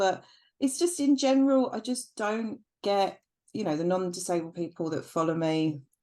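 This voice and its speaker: A woman in a British accent at a fairly quick pace, with very wide pitch swings, over a quiet background. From UK. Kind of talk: casual chat. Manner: hesitant, many fillers.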